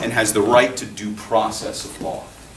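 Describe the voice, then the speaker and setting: Noticeable background noise and audible room echo accompany a man speaking at a moderate pace. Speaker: public defender and political science lecturer. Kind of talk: public talk. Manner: projecting, raised voice.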